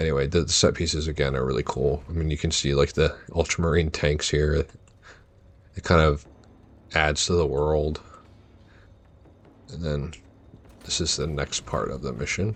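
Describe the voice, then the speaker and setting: Marked by vocal fry, a man with a very deep, low pitch speaks in fairly even intonation with long, frequent pauses. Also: moderate pace. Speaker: ASMR gaming content creator. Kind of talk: soft-spoken casual gameplay commentary. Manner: soft-spoken, relaxed, calm.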